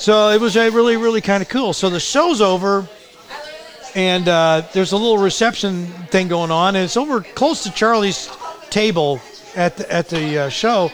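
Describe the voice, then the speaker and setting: A man's high-pitched voice with ordinary pitch variation at a moderate pace, crowd noise in the background. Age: 60s. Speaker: muralist artist. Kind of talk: storytelling in casual conversation.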